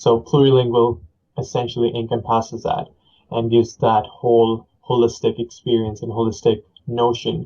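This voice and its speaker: A man with a medium pitch speaks in a somewhat breathy voice at a moderate pace, with monotone, flat intonation. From northern India (Chandigarh). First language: Punjabi and Hindi. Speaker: aspiring teacher. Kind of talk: podcast interview. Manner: halting, many fillers.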